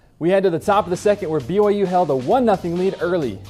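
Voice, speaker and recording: Over background music, a man talks in an upbeat, energetic tone at a high pitch. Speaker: sports news anchor. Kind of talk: student TV sports news read.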